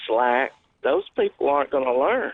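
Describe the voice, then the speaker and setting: With a Louisiana accent, the speaker's pitch varies in an ordinary way. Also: man. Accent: Southern US (Louisiana). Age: 50s. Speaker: caller. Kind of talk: call-in talk radio. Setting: phone call.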